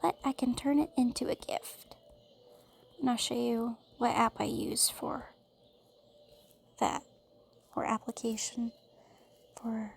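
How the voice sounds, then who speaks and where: Long pauses come often as the talk proceeds fairly slowly. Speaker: tutorial creator. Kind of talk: tutorial. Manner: casual, thinking aloud.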